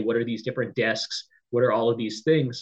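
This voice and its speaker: A somewhat breathy male voice at medium pitch and a very fast pace. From US West Coast, San Diego, California. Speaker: newsletter editor. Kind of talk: interview.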